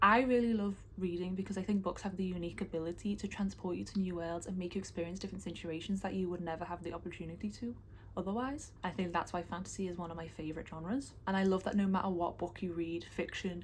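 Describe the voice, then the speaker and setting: This woman speaks very fast. A somewhat breathy quality runs through her voice. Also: medium pitch for a woman. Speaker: booktuber. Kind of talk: casual vlog talk. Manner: fast when excited.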